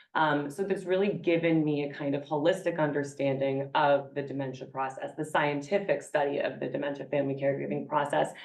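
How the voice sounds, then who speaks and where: A woman's very deep, low voice in an American accent, fairly quick with hardly any pauses and fairly even intonation, over noticeable background noise. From New York. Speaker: gerontology professor. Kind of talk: conference presentation.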